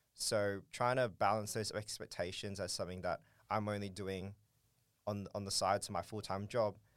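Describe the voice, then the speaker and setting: On a very clean recording with a silent background, a man with an Australian accent talks at a fairly quick pace in a monotone, flat intonation. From Australia, Darwin (Northern Territory). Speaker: startup co-founder. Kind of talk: interview.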